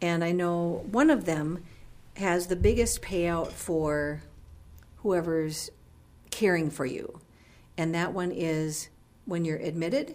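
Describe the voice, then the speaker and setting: A woman's fairly low voice at a very slow pace, ordinary pitch variation, long, frequent pauses and audible room echo. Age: 50s. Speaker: radio co-host, senior living representative. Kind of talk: radio interview.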